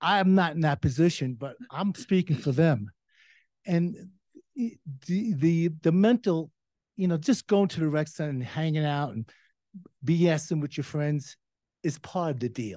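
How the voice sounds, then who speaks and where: A man's dark, mellow tone at a fairly high pitch, with lively intonation, a moderate pace, and long, frequent pauses against a quiet background. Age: 70s. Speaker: public commenter at town meeting. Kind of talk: public comment. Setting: town council meeting. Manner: halting.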